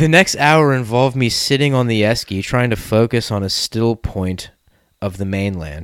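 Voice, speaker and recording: On a very clean recording with a silent background, a man at medium pitch sounds animated, with lively intonation at a moderate pace. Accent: Australian. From Australia. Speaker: podcast host. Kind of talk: casual banter, comedic chat. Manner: joking, animated.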